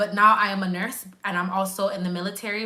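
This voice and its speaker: Speaking at a fairly quick pace in a Grenadian accent, a woman with a medium pitch comes through audible room echo and noticeable background noise. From Canada, Grenadian family. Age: 20s. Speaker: nurse. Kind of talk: live stream chat. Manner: casual, conversational.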